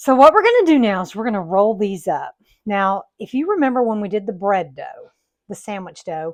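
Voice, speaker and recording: A woman's fairly high voice in a Southern US accent, moderate in pace, with lively intonation and big swings in loudness against a quiet background. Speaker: home baking video host. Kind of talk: cooking tutorial. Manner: casual, folksy.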